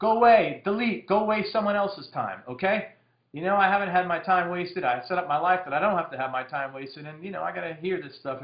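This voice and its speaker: Rushing along at a very fast pace with hardly any pauses, a man speaks at a high pitch with lively intonation and big swings in loudness. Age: 40s. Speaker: direct marketing copywriter. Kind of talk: casual monologue Q&A.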